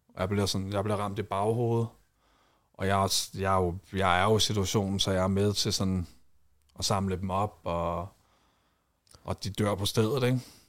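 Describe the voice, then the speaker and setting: At a moderate pace with long, frequent pauses, a man speaks in a monotone, flat intonation and fairly low pitch on a very clean recording with a silent background. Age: 30s. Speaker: reality TV personality and war veteran. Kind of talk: casual chat. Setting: studio.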